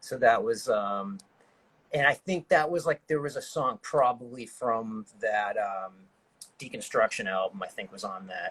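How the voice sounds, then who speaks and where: A man speaks at a moderate pace with an American accent and lively intonation, in a normal speaking voice. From Massachusetts, north of Boston. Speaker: hardcore band musician. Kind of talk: casual interview chat.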